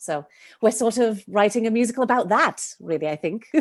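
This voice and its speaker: A woman talks at a fairly quick pace with a Welsh accent. Her pitch variation is ordinary, and the background is quiet. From Wales, Cardiff. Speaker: playwright and director. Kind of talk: podcast interview.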